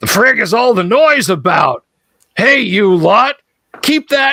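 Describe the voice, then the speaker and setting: In a put-on character voice, a man growls out gruff words at an extremely high pitch and a fairly slow pace. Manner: gruff, growling, irritated.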